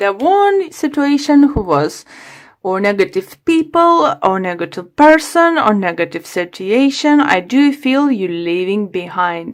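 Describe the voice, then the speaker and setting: Speaking at a fairly slow pace with a non-native accent, a woman lets her pitch swing very widely. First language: not English. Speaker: tarot reader. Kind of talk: tarot reading to camera. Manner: halting.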